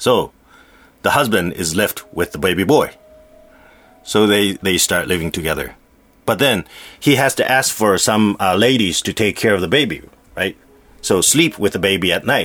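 A fairly low-pitched man at a moderate pace, with lively intonation and long, frequent pauses. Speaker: storyteller and radio host. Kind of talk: ghost story telling, retelling a scary folktale. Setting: radio studio.

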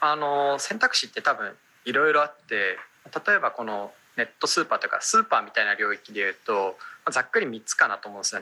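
Here a man's fairly high voice has a bright, sharp tone. He talks very fast, with his pitch swinging very widely. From Japan, Aomori (Hirosaki). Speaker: startup founder and CEO. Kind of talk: radio interview.

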